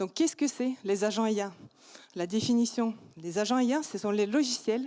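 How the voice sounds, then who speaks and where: A fairly high-pitched woman with a non-native accent on a very clean recording with a silent background. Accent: foreign accent in French. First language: not French (speaking French). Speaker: startup founder. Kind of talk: startup pitch. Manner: hesitant, many fillers.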